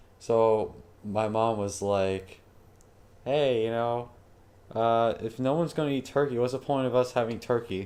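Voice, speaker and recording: Loud and fairly slow, a man speaks with fairly even intonation and long, frequent pauses. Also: medium pitch for a man. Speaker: programming tutor streamer. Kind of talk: live-streamed coding tutorial with casual chat. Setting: live stream. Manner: casual, filler-heavy. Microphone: new mic, may sound louder.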